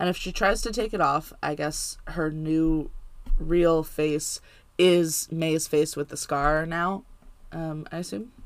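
A woman with a fairly low pitch and ordinary pitch variation talks at a very slow pace. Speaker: podcast co-host, TV show recapper. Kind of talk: casual chat, podcast recap.

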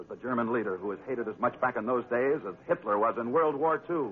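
A man talks at a fast pace and medium pitch with ordinary pitch variation. His voice has a slightly husky edge.

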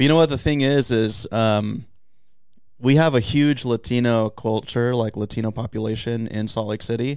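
A man with an American accent speaks in a normal speaking voice at a medium pitch and moderate pace. His intonation is fairly even, on a very clean recording with a silent background. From US West Coast, San Diego. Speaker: sports video producer. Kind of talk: casual chat.

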